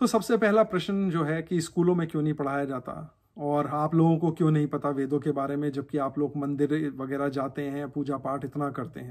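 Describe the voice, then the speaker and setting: In a very clean recording with a silent background, a man with a normal speaking voice talks at a moderate pace with hardly any pauses, his fairly high voice showing ordinary pitch variation. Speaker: religious YouTuber answering viewer questions. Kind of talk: casual Q&A explainer.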